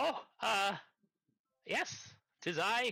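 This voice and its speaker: A man performs in a put-on character voice. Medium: actual play. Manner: hesitant, fussy.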